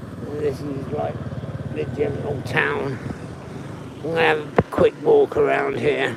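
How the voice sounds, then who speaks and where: Quiet, fairly slow speech with long, frequent pauses, audible room echo and noticeable background noise. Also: man, big swings in loudness. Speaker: travel livestreamer. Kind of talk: live stream walking tour.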